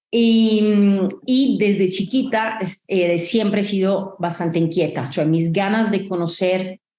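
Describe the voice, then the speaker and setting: A woman speaks at a fairly slow pace with very even loudness. Her pitch sits in the medium range with ordinary variation. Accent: Italian. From Italy. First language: Italian (speaking Spanish). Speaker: tech company founder and CEO. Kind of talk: interview.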